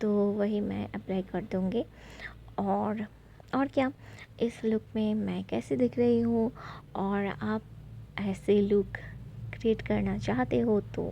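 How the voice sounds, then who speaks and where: The speaker has a non-native accent and leaves long, frequent pauses. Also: woman. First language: not Hindi (speaking Hindi). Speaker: beauty vlogger. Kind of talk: makeup tutorial vlog. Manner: halting, many fillers.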